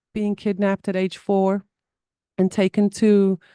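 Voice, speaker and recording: A woman with a South African accent at a fairly slow pace, medium in pitch, in a dark, mellow tone with monotone, flat intonation, in dry, close sound with no echo over a quiet background. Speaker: somatic therapy guest sharing trauma story. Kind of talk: podcast interview. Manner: halting.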